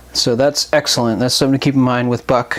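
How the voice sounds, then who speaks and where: A man speaks over noticeable background noise. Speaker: knife reviewer. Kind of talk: product review talk. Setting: new microphone.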